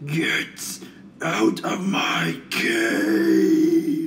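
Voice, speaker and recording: Clear background noise runs under a man doing a put-on character voice. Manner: spooky; shouting.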